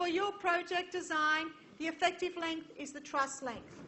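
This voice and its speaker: A woman speaks at an extremely high pitch and a fairly slow pace, with fairly even intonation. Audible room echo surrounds her voice. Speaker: university engineering lecturer. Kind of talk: lecture.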